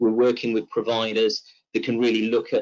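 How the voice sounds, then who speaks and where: A man with a West Country accent speaks at a medium pitch, recorded with a dry, close sound and no echo. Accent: British Southwest twang. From Southwest England. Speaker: tech company presenter. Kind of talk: webinar presentation. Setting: online webinar. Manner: hesitant with fillers.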